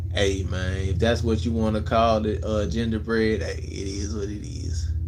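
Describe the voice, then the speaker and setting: A man's relaxed, fairly low voice at a moderate pace with ordinary pitch variation, faint music in the background. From Memphis, Tennessee (US South); Tennessee. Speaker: content creator / livestreamer; live streamer. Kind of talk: casual livestream chat answering viewer comments. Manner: laid-back, relaxed. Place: home room. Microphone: phone near.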